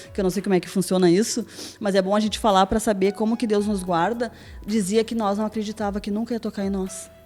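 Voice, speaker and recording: A woman's very fast, medium-pitched speech with fairly even intonation and music in the background. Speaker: churchgoer giving testimony, hairdresser. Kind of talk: testimony interview.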